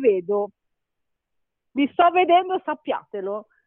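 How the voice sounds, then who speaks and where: A woman is speaking. Her voice sits high in pitch. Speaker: mother of young children, show participant. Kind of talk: casual chat.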